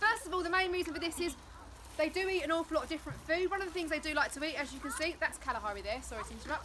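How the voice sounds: A woman talks at a fast pace in a high pitch, with ordinary pitch variation.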